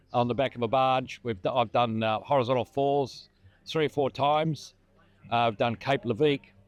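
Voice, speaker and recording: A man's voice comes through dry and close with no echo, holding very even loudness and fairly even intonation. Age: 70s. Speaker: retired river inspector, rally participant. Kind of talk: interview.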